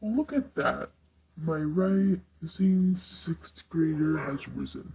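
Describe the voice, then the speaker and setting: Very slowly, a man performs a put-on character voice at a high pitch. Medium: read story. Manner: warm, playful.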